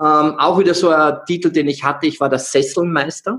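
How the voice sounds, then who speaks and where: This man speaks in a Salzburg accent at a moderate pace, with ordinary pitch variation. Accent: Austrian (Salzburg). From Austria, Salzburg. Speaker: energy healer and coach. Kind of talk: interview.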